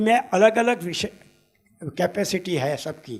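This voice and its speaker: Music in the background beneath a high-pitched male voice. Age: 80s+. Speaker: astrologer. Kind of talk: conference talk.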